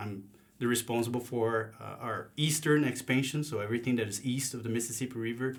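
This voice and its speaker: A man's medium-pitched voice runs at a fairly quick pace. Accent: Brazilian. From southern Brazil, Paraná. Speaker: agricultural sales manager. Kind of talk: casual interview.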